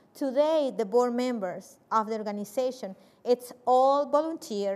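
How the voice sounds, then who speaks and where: A woman with a fairly high pitch speaks with a Spanish accent. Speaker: nonprofit executive director. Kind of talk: panel discussion.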